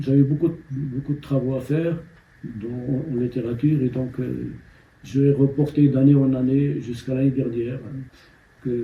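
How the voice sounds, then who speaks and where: Speaking at a fairly slow pace with long, frequent pauses, a man uses a medium pitch, a monotone, flat intonation and a somewhat breathy sound. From Morocco, Amazigh-speaking village. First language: Amazigh (Berber) (speaking French). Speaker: novelist. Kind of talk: interview. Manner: hesitant, many fillers and repetitions.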